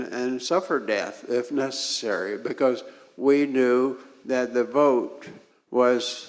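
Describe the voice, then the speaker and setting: A man with an American accent speaks at a medium pitch and a very slow pace. Audible room echo is present. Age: 80s+. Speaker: civil rights activist. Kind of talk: talk to a congregation. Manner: halting with frequent fillers.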